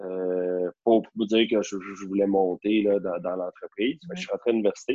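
A man's fairly low-pitched voice with fairly even intonation, an ordinary speaking voice. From Quebec, Rosemère north of Montreal. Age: 30s. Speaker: real estate broker. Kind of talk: casual chat.

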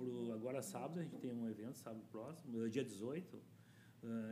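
Over audible room echo, a man with a dark, mellow tone speaks at a fairly slow pace with ordinary pitch variation. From Porto Alegre, southern Brazil. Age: 50s. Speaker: community activist. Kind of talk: interview.

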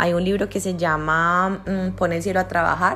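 A woman with a Cali Colombian accent speaks very fast and flat, her fairly low voice edged with vocal fry. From Colombia, Cali. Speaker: spiritual teacher and podcaster. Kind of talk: Q&A podcast monologue.

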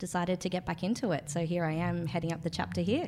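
In a very clean recording with a silent background, a woman with an Australian accent talks at a very fast pace, her fairly low pitch held to fairly even intonation. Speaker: co-host, marketing manager. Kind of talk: casual interview. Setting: in an office in London.

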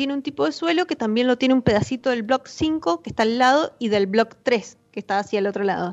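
Music plays in the background as a woman speaks at a fairly high pitch. Her intonation is lively. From Argentina, Mendoza. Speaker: winemaker. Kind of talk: interview. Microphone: too quiet at first.

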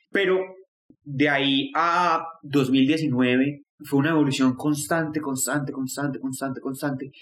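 A man with a normal speaking voice talks at a fairly high pitch with fairly even intonation. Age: 20s. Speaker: student sharing depression story. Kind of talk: personal testimony.

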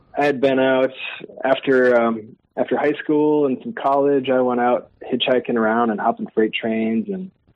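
In an American accent, a man speaks at a moderate pace. His pitch is medium, with ordinary pitch variation. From Minnesota, Twin Cities suburbs. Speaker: string band musician. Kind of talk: casual interview chat.

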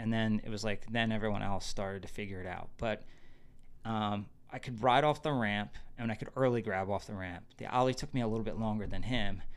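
In an unremarkable speaking voice, a man with an American accent speaks at a fairly quick pace, fairly low in pitch, his intonation fairly even. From New Jersey. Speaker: skateboarder. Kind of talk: casual chat.

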